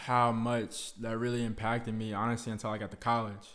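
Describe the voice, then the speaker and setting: Medium in pitch, a man's voice moves at a fairly quick pace. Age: 20s. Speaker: podcast host, college student. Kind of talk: casual monologue. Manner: casual, filler-heavy.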